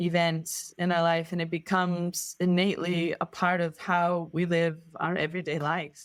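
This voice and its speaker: A woman with a non-native accent speaks at a moderate pace in a monotone, flat intonation. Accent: foreign, described as gorgeous. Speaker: sailor. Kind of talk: interview answer. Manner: reflective, hesitant.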